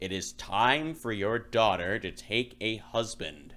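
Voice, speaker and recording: A man performs a put-on character voice that is growling and booming, at medium pitch and a fairly slow pace. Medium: read story. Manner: imperious, commanding, menacing.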